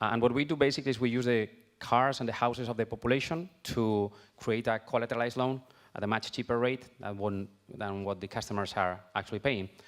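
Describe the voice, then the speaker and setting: Speaking at a very fast pace, a man has a Spanish accent and a medium-pitched voice with ordinary pitch variation. The recording is very clean, with a silent background. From Spain. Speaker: fintech company founder. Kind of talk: panel discussion.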